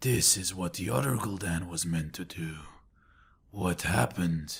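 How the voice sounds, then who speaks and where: Putting on a character voice, a man growls in a very deep, low, raspy pitch at a moderate pace. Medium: read story. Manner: guarded, resentful.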